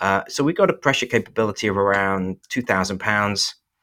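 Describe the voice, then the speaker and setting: A man with an English accent talks at a very fast pace in a fairly low pitch, on a very clean recording with a silent background. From England. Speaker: company representative. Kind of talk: casual interview.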